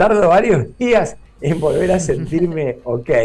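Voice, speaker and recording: This is a man speaking. Music plays in the background. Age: 60s. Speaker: neurologist. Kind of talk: interview.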